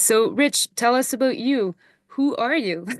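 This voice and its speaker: A woman speaks slowly-ish with a Quebec accent and ordinary pitch variation, at a fairly slow pace. The sound is dry and close with no echo, over a quiet background. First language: French. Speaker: horse logger, chat host. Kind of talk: online interview. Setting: video call. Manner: halting, many fillers.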